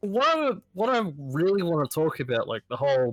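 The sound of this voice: A man's nasal, fairly bright voice with lively intonation at a moderate pace.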